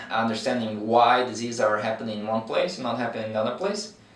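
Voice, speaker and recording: Amid audible room echo and noticeable background noise, a man speaks at a medium pitch in a Brazilian accent. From Brazil, countryside. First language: Portuguese. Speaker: veterinary researcher. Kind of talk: interview. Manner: hesitant with fillers.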